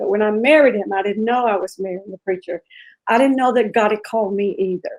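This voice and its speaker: A woman has an ordinary speaking voice at a fairly high pitch. She keeps a fairly quick pace with fairly even intonation. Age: 50s. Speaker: pastor. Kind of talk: interview testimony.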